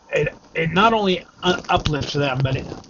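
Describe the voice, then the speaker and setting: Noticeable background noise sits under this clip. A man talks at a fairly slow pace. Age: 60s. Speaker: vlogger. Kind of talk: casual vlog monologue. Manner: halting, many fillers.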